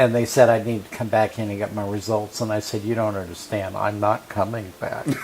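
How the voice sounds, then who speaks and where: A man speaks with monotone, flat intonation and hardly any pauses over noticeable background noise. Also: fairly low pitch for a man, fairly quick pace. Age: 60s. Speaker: HIV survivor sharing his story. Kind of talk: interview testimony. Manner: hesitant, many fillers.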